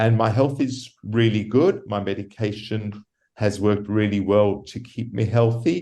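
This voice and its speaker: With an Australian accent, a man speaks fairly slowly at a fairly low pitch, his tone dark and mellow and his pitch variation ordinary. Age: 60s. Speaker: patient living with HIV. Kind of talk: interview. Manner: halting.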